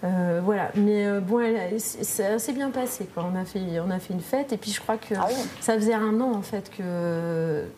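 Against noticeable background noise, a woman talks fairly slowly at a medium pitch with ordinary pitch variation. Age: 30s. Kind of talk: casual interview. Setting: library.

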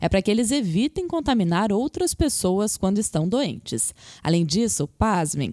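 A woman with a dark, mellow tone speaks at a moderate pace with lively intonation. The sound is dry and close, with no echo. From Brazil, interior. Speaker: journalist, podcast host. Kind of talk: interview with scripted narration segments.

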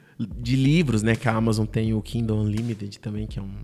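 A fairly low-pitched male voice at a very fast pace. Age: 30s. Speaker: writer and scriptwriter. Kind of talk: interview.

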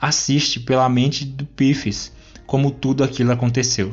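A man with a medium pitch speaks at a moderate pace in an animated, dramatic tone. Music plays in the background. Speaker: podcast host and narrator. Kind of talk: literary audiobook-style reading of a comic, narrated with character voices. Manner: animated, storytelling narrator, dramatic.

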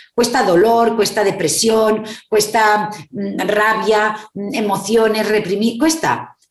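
A woman speaks very slowly, her pitch fairly high. The room gives off an audible echo. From Spain. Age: 50s. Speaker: psychologist and therapist. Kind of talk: interview. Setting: video call.

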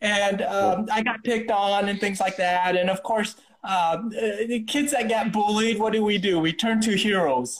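In an American accent, a man speaks in a high voice at a moderate pace, with ordinary pitch variation, very even loudness and hardly any pauses. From US Midwest. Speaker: chiropractor and martial artist. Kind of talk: casual interview chat. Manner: halting, many repetitions and fillers.

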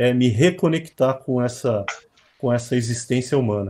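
Here a man speaks at a medium pitch with a dark, mellow tone. He sounds somewhat breathy. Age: 40s. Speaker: trading company CEO. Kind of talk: webinar conversation.

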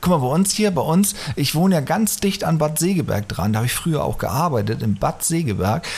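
Over noticeable background noise, a man talks fairly quickly in a fairly high pitch with very wide pitch swings while his loudness stays very even. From northern Germany. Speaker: podcast host. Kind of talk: casual chat. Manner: fast. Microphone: echoey, cave-like sound.

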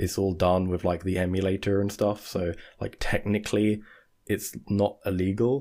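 A man with a dark, mellow tone speaks at a fairly low pitch and a moderate pace in monotone, flat intonation, in a very clean recording with a silent background. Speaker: podcast co-host. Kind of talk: casual chat.

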